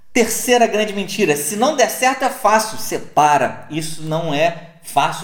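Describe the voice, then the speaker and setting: A man's intonation is lively while noticeable background noise runs underneath. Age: 40s. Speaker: podcast co-host, married couple. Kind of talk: casual chat.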